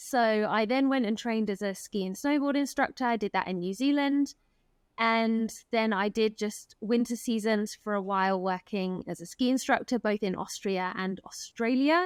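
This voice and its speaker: In an English accent, a woman speaks at a moderate pace and fairly high pitch with ordinary variation, on a very clean, silent-background recording that is dry and close with no echo. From England. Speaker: elopement photographer. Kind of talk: casual interview.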